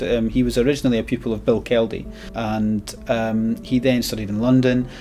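A man talks with faint music playing behind him. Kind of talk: interview conversation. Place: shop.

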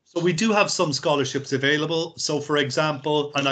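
A man with a Cork accent, fairly even intonation and a moderate pace, against a quiet background. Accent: Cork Irish. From Ireland, Cork; Ireland. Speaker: university recruitment representative; presenter. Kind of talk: presentation. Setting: video call. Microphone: video call.

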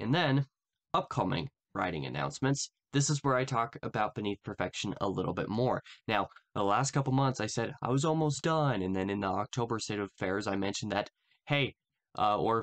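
Lively intonation from a man, delivered at a fairly quick clip. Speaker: channel host. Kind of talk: casual vlog update. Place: home room. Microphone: earbuds.

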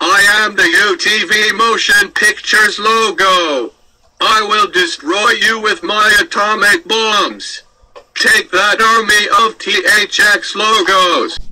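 This is a man doing a put-on character voice. It sits high for him, and every word is drawn out very slowly. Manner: menacing, playful.

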